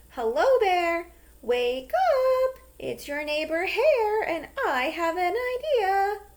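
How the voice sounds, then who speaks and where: A woman uses a squeaky, put-on character voice at an extremely high pitch. She speaks very slowly, with very wide pitch swings. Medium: read story. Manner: friendly, smooth-talking.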